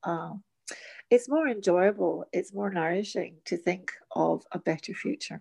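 A woman with a dark, mellow tone and vocal fry speaks at a medium pitch and a fairly slow pace, with lively intonation, in a dry, close sound with no echo. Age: 60s. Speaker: teacher and workshop facilitator. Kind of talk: casual chat. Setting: remote recording from home during lockdown.

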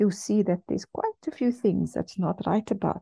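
A woman speaks at medium pitch with a dark, mellow tone and a somewhat breathy quality. The sound is dry and close, with no echo. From South Africa, Cape Town. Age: 40s. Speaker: radio host. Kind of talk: personal testimony. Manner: hesitant, with frequent fillers.

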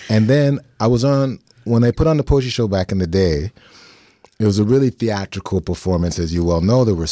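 A man's dark, mellow voice carries lively intonation, and the sound is dry and close with no echo. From Toronto, Canada. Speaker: podcast host, poet. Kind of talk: casual interview conversation. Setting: studio. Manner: animated.

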